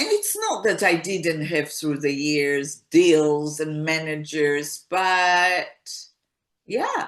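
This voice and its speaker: A woman speaks at a very slow pace in a very deep, low voice. Her intonation is fairly even. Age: 60s. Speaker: singer-songwriter. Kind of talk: interview.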